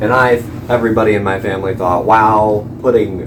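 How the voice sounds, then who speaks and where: Over noticeable background noise and room echo, a man talks fairly quickly at a fairly low pitch. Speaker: YouTube content creator. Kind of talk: casual unscripted vlog talk. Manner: halting, many fillers.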